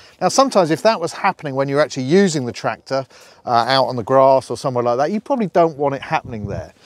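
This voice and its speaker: The speaker is a man. The sound is dry with no echo, over a quiet background. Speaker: company director demonstrating a tractor. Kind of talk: product demo tutorial. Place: farm machine.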